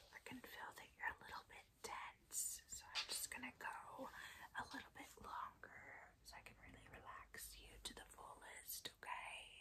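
The speaker whispers at a fairly slow pace. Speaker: ASMR creator giving massage. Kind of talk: ASMR roleplay with whispered ramble. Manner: whispered, soft-spoken.

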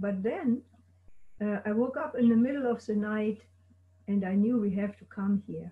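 With long, frequent pauses, a woman speaks at a moderate pace, her loudness swinging widely and her pitch varying in an ordinary way over a quiet background. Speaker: guest's wife and life partner; guest. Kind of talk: oral history interview. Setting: video call. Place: home room. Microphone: video call.

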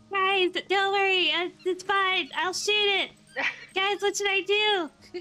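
Over clear background noise, a woman in a put-on character voice sounds squeaky at an extremely high pitch, speaking fairly slowly with monotone, flat intonation. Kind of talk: live gaming commentary. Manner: cheerful, reassuring.

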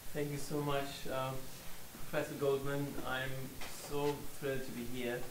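A man with a fairly high pitch and monotone, flat intonation, long and frequent pauses, noticeable background noise. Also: moderate pace. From Germany. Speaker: scholar and author. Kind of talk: lecture. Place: meeting room.

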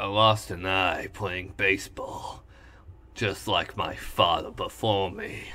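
In a put-on character voice, a man speaks raspy and fairly low at a fairly slow pace. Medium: role play.

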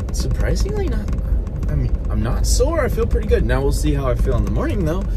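Against noticeable background noise, a man talks in a very deep, low voice. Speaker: fitness vlogger. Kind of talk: casual vlog chat. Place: car. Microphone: phone near.

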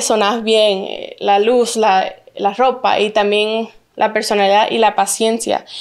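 Over a quiet background, a woman speaks at a fairly slow pace with a fairly high pitch and a monotone, flat intonation. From Santa Cruz, Bolivia; raised in Orlando, Florida from age 7. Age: 20s. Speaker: plus-size model and influencer; influencer. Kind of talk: interview. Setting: at her home. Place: studio. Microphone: handheld.

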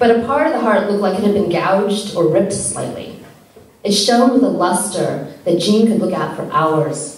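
In a natural reading voice, the pitch moves up and down by ordinary amounts.

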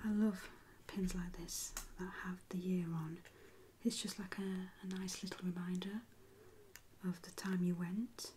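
Soft-spoken, relaxed delivery at a fairly slow pace, with long, frequent pauses and light background noise. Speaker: ASMR creator. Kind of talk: ASMR soft-spoken show-and-tell. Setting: quiet indoor recording, close to microphone. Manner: soft-spoken, slow, relaxed. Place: home room.

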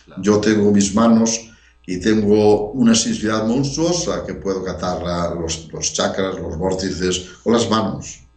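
Against audible room echo, a man talks fairly slowly in a fairly low pitch with ordinary pitch variation. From Spain, A Coruña (Galicia); Galicia, Spain. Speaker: researcher; interviewee. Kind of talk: interview. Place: home room. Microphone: headset.

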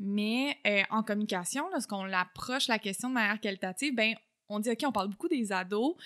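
Speaking with a Quebec accent, a woman talks at a fairly quick pace in a fairly high pitch with a bright, sharp tone and ordinary pitch variation. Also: quiet background. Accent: Québécois French. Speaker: communication researcher and lecturer; lecturer. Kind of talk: casual interview. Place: home room. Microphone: studio mic.

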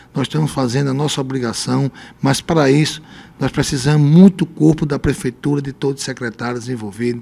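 A man's fairly quick delivery carries ordinary pitch variation. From Brazil, Rio Grande do Norte interior (Lajes Pintadas); Rio Grande do Norte, Brazil. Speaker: mayor; interviewee. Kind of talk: radio interview. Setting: radio studio. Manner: halting. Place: studio. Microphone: handheld.

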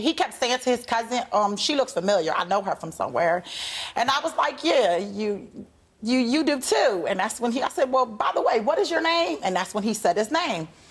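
A woman at a fairly quick pace, her pitch swinging very widely, with music in the background. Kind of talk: courtroom testimony, storytelling. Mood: amused, animated. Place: stage. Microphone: lapel.

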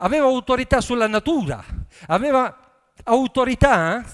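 At a moderate pace, a man talks at an extremely high pitch with lively intonation.

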